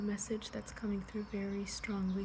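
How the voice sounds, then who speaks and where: Noticeable background noise sits behind a soft-spoken woman. Her intonation is monotone and flat. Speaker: tarot reader. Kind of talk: ASMR tarot reading, soft-spoken guidance. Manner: soft-spoken, relaxing.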